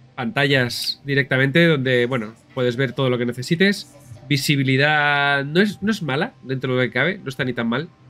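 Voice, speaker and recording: Music in the background behind a man's moderately paced speech, his pitch varying in an ordinary way. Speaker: video game streamer. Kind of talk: casual gameplay commentary.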